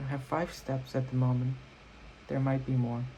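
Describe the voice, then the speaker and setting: Somewhat breathy and with a dark, mellow tone, a man speaks at a medium pitch and a moderate pace. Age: 20s. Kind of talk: casual talk to camera. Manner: rambling.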